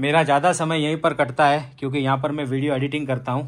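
A man with a fairly high pitch talks in a bright, sharp tone and a monotone, flat intonation. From Rajasthan, India. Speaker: vlogger. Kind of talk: casual vlog narration. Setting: at home. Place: home room. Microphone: phone near.

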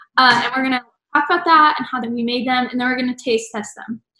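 In a room with audible echo but a quiet background, a woman speaks at a high pitch with ordinary pitch variation. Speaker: theater stage manager host. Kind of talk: casual vlog chat. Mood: cheerful, excited. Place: home room. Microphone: video call.

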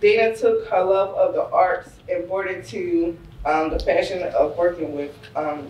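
Light background noise and audible room echo surround the recording. A woman speaks at a fairly slow pace. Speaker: after-school program director. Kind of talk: speaker introduction. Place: hall. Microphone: camera far.

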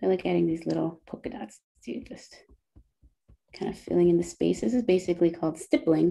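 Long, frequent pauses break up the speech. Between them, the pace is fairly quick. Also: woman, big swings in loudness. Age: 30s. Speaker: illustrator and workshop instructor; doodling workshop host. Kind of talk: tutorial. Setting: video call. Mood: calm, relaxed. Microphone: video call.

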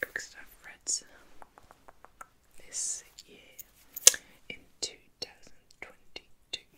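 Here a woman whispers. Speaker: ASMR creator. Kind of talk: casual talk to camera. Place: home room.

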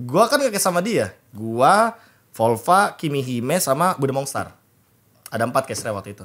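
Against a quiet background, the voice moves at a moderate pace with very wide pitch swings and big swings in loudness. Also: man. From Indonesia. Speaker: esports analyst and caster; esports talk show guest or host. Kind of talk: casual chat. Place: studio. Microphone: studio mic.

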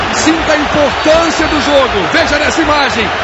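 Loud background noise under a man's dry, echo-free voice. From Brazil. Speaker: play-by-play football commentator. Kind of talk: live football commentary. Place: booth.

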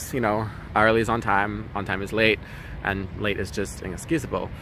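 The tone is bright and sharp. The sound is dry with no echo, though noticeable background noise comes through. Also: man. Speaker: travel vlogger. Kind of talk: casual vlog chat. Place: street. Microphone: phone near.

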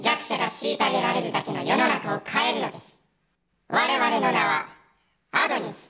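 A raspy woman with a fairly high voice speaks at a moderate pace. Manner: formal, ominous proclamation.

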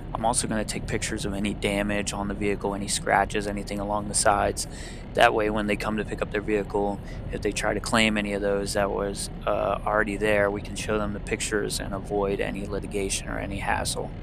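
A man races through his words very fast, the sound dry with no echo while noticeable background noise lingers. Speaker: tow truck driver channel host. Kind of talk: commentary. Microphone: headset.

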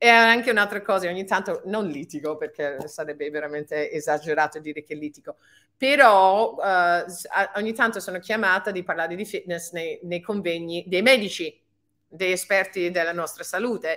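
With an English accent, a woman speaks at a moderate pace in a medium pitch with a bright, sharp tone, ordinary pitch variation and big swings in loudness. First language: English (speaking Italian). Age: 50s. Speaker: fitness and anti-aging coach; anti-aging coach. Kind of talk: webinar talk. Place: home room. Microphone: webcam.

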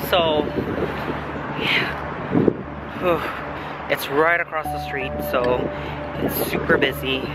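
A man at a very slow pace, dry sound with no echo, music in the background. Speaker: vendor vlogger. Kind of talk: casual vlog chat. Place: street. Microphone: phone near.

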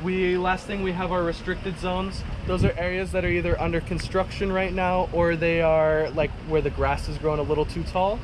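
Over noticeable background noise, a man speaks at a high pitch and a fairly quick pace with monotone, flat intonation and hardly any pauses. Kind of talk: safety briefing. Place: boat. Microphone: phone near.

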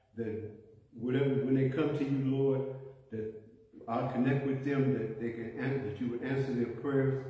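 A man with an American accent speaks at a moderate pace in a flat, monotone way, with long, frequent pauses. Strong room echo surrounds his voice. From US South. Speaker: church prayer leader. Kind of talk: fervent prayer. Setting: church. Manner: earnest, pleading, impassioned; stumbling, repeating words. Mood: calm, earnest, reverent. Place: church. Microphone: phone near.

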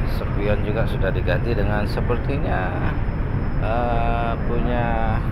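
Loud background noise runs under a man's speech. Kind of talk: casual vlog chat. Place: boat. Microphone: phone near.

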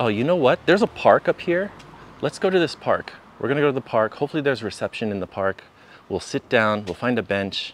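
Over light background noise, a man talks at a very fast pace with very wide pitch swings, in a dry sound with no echo. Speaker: travel live streamer. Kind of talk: live stream chat while walking. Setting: outdoors. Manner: casual, filler-heavy. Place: street. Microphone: phone near.

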